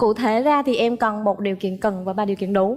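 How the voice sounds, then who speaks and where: A woman's very fast speech in a slight central Vietnamese accent, with music in the background. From Phu Yen, central Vietnam. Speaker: dating show contestant. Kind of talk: dating show conversation.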